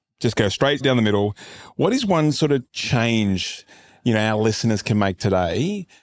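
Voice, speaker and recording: A man with a plain, everyday voice talks at a moderate pace, fairly low in pitch with ordinary pitch variation. The recording is very clean, with a silent background. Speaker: podcast host and fitness business coach. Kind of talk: casual interview. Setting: on location at a fitness retreat. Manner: casual, profane.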